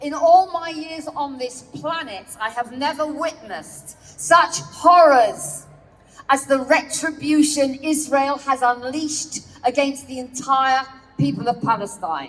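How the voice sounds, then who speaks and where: Speaking at a fairly slow pace, a woman with a British accent uses a high pitch. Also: ordinary pitch variation, big swings in loudness. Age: 70s. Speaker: activist speaker. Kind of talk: protest speech. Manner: formal.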